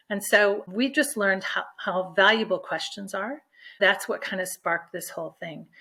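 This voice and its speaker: Heard in a very clean recording with a silent background, a woman with a medium pitch and a bright, sharp tone speaks at a moderate pace, with ordinary pitch variation and big swings in loudness. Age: 60s. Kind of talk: interview.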